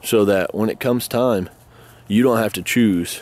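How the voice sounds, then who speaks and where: This man's voice sits at a medium pitch. Its rise and fall is ordinary. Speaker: homesteading prepper YouTuber. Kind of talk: casual vlog talk to camera. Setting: outdoors by goat pen. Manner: informal, rambling rant.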